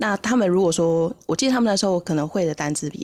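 A woman speaks with vocal fry in a Taiwanese accent, her pitch varying in an ordinary way. The recording is very clean, with a silent background. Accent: Taiwanese Mandarin. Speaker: English-learning podcast host. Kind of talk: casual interview chat.

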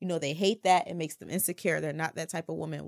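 A woman talks at a very fast pace with vocal fry. The recording is very clean, and the background silent. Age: 20s. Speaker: podcast panelist. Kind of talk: casual chat.

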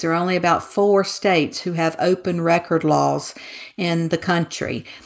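A woman with a Southern US accent, fairly low pitched, at a moderate pace. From Mississippi, US South. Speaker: author. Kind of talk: casual interview chat.

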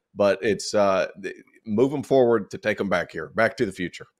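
A man with a Southern US accent speaks at a fairly quick pace and fairly low pitch with fairly even intonation, in a very clean recording with a silent background and a dry, close sound with no echo. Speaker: college basketball analyst. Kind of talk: casual sports banter.

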